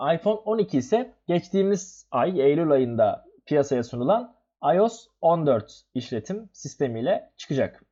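A man speaks with a dark, mellow tone and very wide pitch swings. The background is quiet. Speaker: tech podcast co-host, university student. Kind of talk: casual chat.

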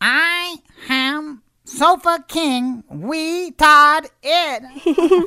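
A man's cartoonish character voice, extremely high in pitch and very slow in pace. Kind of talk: cartoon parody voice acting. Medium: comedy sketch. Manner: excitable, repetitive, gleeful.

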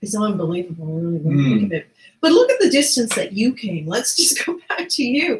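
Audible echo from the room surrounds this woman's voice as she talks. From Newfoundland, Canada. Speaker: talk show host. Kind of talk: interview host. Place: home room.

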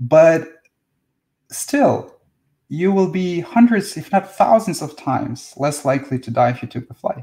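A man with a Russian accent, a fairly high pitch and a dark, mellow tone, at a fairly slow pace with long, frequent pauses over a quiet background. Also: big swings in loudness. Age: 40s. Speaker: spiritual teacher. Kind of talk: live stream talk and Q&A. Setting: live video stream. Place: home room. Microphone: webcam.

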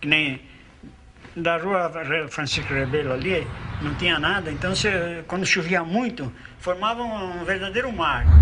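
A man with a high pitch at a fairly slow pace, with long, frequent pauses, ordinary pitch variation and noticeable background noise. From Brazil, São Paulo. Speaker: longtime resident. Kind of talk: casual chat. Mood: relaxed, nostalgic storytelling. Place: home room.

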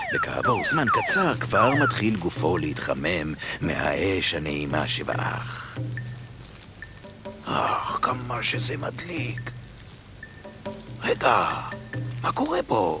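Speech comes at a very slow pace, with long, frequent pauses. The sound is dry with no echo, and clear music plays in the background. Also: man. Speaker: narrator. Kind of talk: cartoon narration. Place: studio. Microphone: studio mic. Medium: dub.

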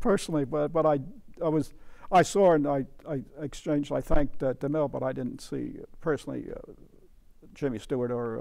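A man's dark, mellow voice at a fairly quick pace, with ordinary pitch variation over a quiet background. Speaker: interview guest. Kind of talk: interview answer. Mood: warm, amused reminiscing. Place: studio. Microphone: lapel.

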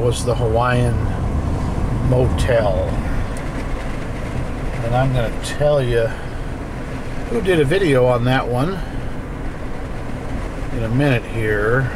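The speech moves at a fairly slow pace with long, frequent pauses. Noticeable background noise runs underneath. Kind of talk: casual vlog commentary. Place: car. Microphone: phone near.

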